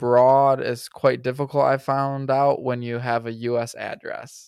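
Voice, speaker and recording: This man speaks at a moderate pace with a Midwestern US accent, in a medium pitch and a flat, monotone delivery. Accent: US Midwest. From Michigan, US. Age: 20s. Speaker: content creator. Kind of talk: casual chat.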